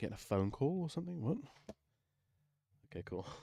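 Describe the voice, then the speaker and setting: The speaker has an English accent and ordinary pitch variation. The sound is dry and close with no echo. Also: man. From England. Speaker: music producer streamer. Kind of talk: live stream tutorial. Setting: live stream. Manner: casual thinking aloud. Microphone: quiet on stream.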